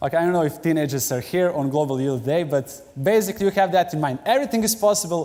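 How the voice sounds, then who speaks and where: In a Serbian accent, the speaker's dark, mellow tone moves at a very fast pace with lively intonation. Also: man. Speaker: pastor. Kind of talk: sermon. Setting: church.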